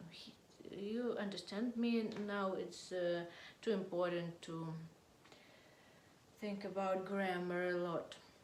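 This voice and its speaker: A woman's medium-pitched voice at a very slow pace, with fairly even intonation, big swings in loudness, long, frequent pauses and audible room echo. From Russia. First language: Russian. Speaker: political vlogger. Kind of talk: political monologue to camera. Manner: halting, hesitant non-native English; quiet.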